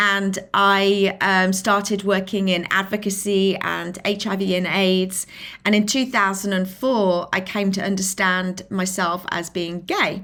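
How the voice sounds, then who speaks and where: Speaking with a strong British accent, a woman has a medium pitch and a bright, sharp tone. She talks at a fairly slow pace in monotone, flat intonation and with hardly any pauses. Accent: British, still strong after decades in US. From England, Lincolnshire. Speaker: filmmaker and inclusion advocate. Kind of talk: podcast interview.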